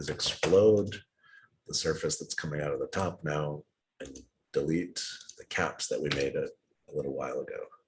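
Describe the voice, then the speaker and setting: A man speaks at a moderate pace with big swings in loudness. He leaves long, frequent pauses. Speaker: design software instructor. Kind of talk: tutorial. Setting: video call.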